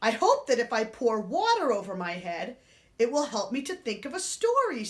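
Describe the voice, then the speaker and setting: A woman puts on a character voice, high in pitch. She speaks at a moderate pace. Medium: read story.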